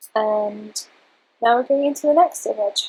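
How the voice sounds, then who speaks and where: This woman's pitch is high. She keeps a moderate pace. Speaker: beauty photographer. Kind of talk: software tutorial narration. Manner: low-energy, subdued.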